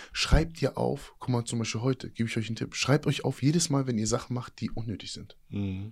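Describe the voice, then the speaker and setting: A man at a medium pitch talks at a fairly quick pace with hardly any pauses, in an animated tone with ordinary pitch variation. His voice is somewhat breathy. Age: 30s. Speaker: fitness and mindset coach, former inmate. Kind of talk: casual interview.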